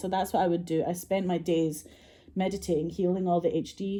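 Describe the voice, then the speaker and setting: A woman with a Scottish accent talks very fast in a fairly low voice. Her tone is dark and mellow, and her intonation fairly even. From Scotland. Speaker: filmmaker and actress. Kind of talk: casual storytelling monologue.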